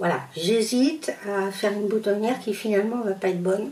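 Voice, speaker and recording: Speaking at a moderate pace in a Parisian accent, a woman uses a medium pitch with ordinary pitch variation. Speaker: sewing youtuber. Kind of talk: sewing tutorial. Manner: hesitant, many fillers; casual, conversational.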